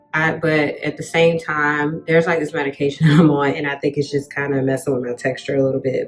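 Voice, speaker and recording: A woman's very deep, low voice with music in the background. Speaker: vlogger and project manager. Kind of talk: casual vlog chat. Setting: hotel room. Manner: fast; animated.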